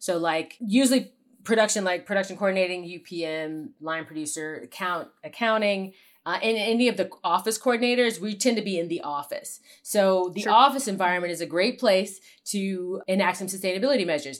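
Speaking with an American accent, a woman has an ordinary speaking voice with ordinary pitch variation and talks at a fairly quick pace in a very clean recording with a silent background. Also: medium pitch for a woman. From Ohio, US Midwest. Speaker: television producer. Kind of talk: interview.

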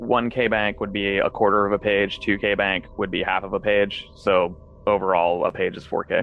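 A man speaks in a fairly low, flat monotone. Music plays in the background. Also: moderate pace. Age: 30s. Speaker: indie retro game developer. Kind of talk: interview.

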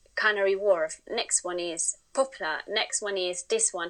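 The speech comes at a moderate pace in a Spanish accent. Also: woman. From Spain. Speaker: interview guest, Spanish woman living in UK. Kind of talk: casual interview chat.

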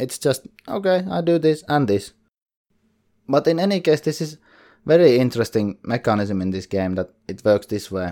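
With long, frequent pauses, a man speaks at a moderate pace in a dark, mellow, medium-pitched voice with very wide pitch swings, on a very clean recording with a silent background. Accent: Finnish. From Finland. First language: Finnish. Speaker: board game podcaster. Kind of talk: solo podcast monologue. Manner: careful, thinking about pronunciation.

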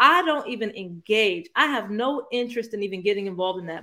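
A woman with an American accent speaks at a fairly quick pace in a fairly high pitch with lively intonation. It is an unremarkable speaking voice. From US Midwest, Northeast Ohio. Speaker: sports podcast guest, basketball fan. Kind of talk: casual chat.

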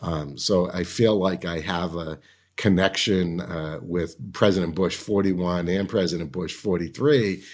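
Speaking very slowly, a man with a Boston accent talks at a very deep, low pitch. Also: ordinary pitch variation. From Massachusetts, Boston area. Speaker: lobbyist and political strategist. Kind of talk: casual interview conversation. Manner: friendly, laughs often.

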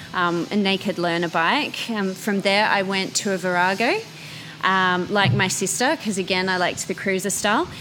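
Over music in the background, a woman with an Australian accent talks at a moderate pace and a medium pitch. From Australia, Canberra. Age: young. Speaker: motorcycle brand marketing manager. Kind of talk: interview.

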